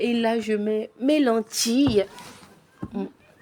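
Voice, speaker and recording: A woman speaks at a fairly high pitch with fairly even intonation. Noticeable background noise is present. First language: Lingala and Kituba (speaking French). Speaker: home cooking vlogger. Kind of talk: cooking tutorial. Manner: halting, repetitive.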